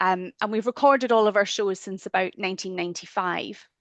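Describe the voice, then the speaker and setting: Speaking at a fairly quick pace with a strong Scottish accent, a woman shows ordinary pitch variation in a dry, close sound with no echo. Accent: broad Scottish. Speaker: theatre archivist. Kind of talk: webinar presentation.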